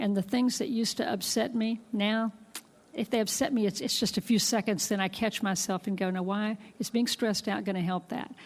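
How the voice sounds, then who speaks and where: A woman with a plain, everyday voice talks fairly quickly at a fairly high pitch. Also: ordinary pitch variation. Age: 60s. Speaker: physician and professor. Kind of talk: interview.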